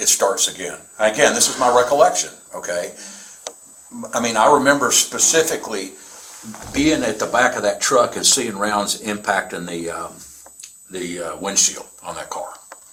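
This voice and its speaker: With a Southern US accent, a man talks at a moderate pace, pausing long and often, his loudness swinging widely over noticeable background noise. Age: 60s. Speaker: reserve police officer / prosecutor. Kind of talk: police interview statement. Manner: casual, halting.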